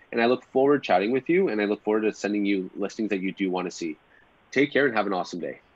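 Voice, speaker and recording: Talking at a very fast pace, a man with a Canadian accent comes through dry, with no echo. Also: fairly low pitch for a man, ordinary pitch variation. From Ontario, Canada (Pickering); Ontario, Canada. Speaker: real estate agent. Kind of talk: live webinar demo; live webinar demo and casual talk. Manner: casual, filler-heavy. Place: home room. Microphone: webcam.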